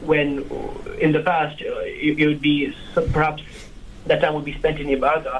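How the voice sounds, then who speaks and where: A man speaks at a moderate pace in a fairly high pitch with monotone, flat intonation, long and frequent pauses, and noticeable background noise. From Kenya, Nairobi. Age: 20s. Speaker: film reviewer, law student. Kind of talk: radio interview. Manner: halting.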